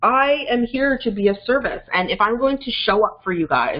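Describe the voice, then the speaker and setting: Loud, at a fairly quick pace. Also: woman. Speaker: life and business coach. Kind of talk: webinar presentation. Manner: fast.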